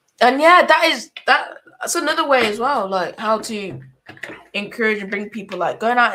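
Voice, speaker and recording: Animated in tone, a woman speaks with a fairly high pitch and very wide pitch swings. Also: big swings in loudness. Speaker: church podcast host. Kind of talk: casual chat. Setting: podcast studio, live stream. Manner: stuttering.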